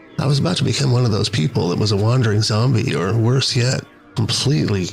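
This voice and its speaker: Music can be heard behind the speaker. The words come out at a very fast pace. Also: man. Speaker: podcaster. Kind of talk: monologue storytelling podcast.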